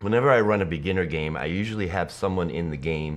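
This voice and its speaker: There is vocal fry as a man talks very fast with ordinary pitch variation. Audible room echo surrounds him. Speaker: tabletop game master and musician. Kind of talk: casual interview.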